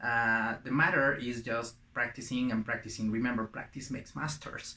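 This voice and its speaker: A man with a Spanish accent speaks against noticeable background noise. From Mexico. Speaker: language teacher. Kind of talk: tutorial. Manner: hesitant, many filler sounds.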